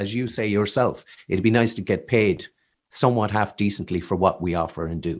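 On a very clean recording with a silent background, a man with an American accent talks at a fairly quick pace, his fairly low pitch showing ordinary variation. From Ireland, Killarney, County Kerry. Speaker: singer-songwriter. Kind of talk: casual interview chat.

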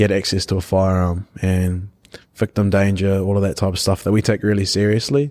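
In a New Zealand accent, the speaker talks at a fairly quick pace with a dark, mellow tone and very even loudness. Intonation stays monotone and flat on a very clean recording with a silent background. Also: man, fairly low pitch for a man. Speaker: rugby player. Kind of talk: casual chat.

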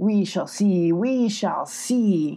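A woman does a put-on character voice at medium pitch, with faint music in the background. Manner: threatening.

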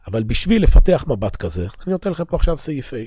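A man speaks in a somewhat breathy voice that swings very widely in pitch. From Israel. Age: 40s. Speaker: religious teacher. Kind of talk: lecture. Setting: classroom at an institute, recorded for viewers.

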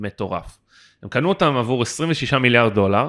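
Bright and sharp in tone, a man speaks at a medium pitch with very wide pitch swings at a moderate pace. The recording is very clean, with a silent background. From Israel. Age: 20s. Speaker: podcast co-host, LinkedIn consultant and lecturer. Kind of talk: casual podcast chat.

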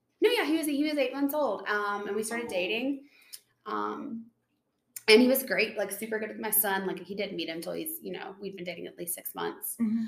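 With a slight Southern US accent, a woman with a fairly high pitch talks at a fairly quick pace, using lively intonation, vocal fry and big swings in loudness. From Tennessee. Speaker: nurse. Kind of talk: casual chat.

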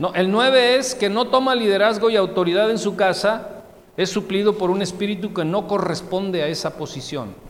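The voice moves at a moderate pace with ordinary pitch variation, with audible room echo and noticeable background noise. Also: man, high pitch for a man. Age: 30s. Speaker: pastor. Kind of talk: sermon.

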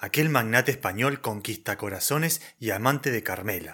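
The recording is very clean, with a silent background. A man speaks in a Rioplatense accent with a bright, sharp tone. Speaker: radio drama narrator. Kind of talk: scripted narration.

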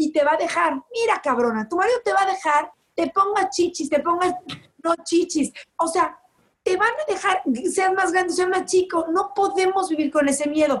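A woman speaks with an extremely high pitch. Her pace is moderate and her pitch variation ordinary. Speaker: social media personality. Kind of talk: casual chat. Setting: at home.

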